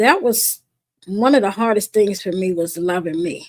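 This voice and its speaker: A woman speaks fairly slowly with lively intonation. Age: 60s. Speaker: guest on wellness podcast. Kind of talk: casual chat.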